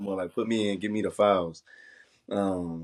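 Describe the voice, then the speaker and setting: Against a silent background in a very clean recording, a man with an American accent speaks at a very deep, low pitch in a monotone, flat intonation. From Roanoke, Virginia. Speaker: entrepreneur and non-profit founder. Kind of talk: casual interview chat.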